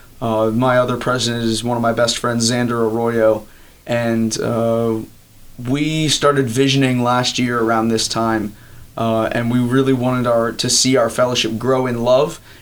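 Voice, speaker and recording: With audible room echo, a man in an American accent speaks at a fairly slow pace with monotone, flat intonation. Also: medium pitch for a man. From Maryland, US (Elkton). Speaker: college student, campus ministry leader. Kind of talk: interview. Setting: on campus.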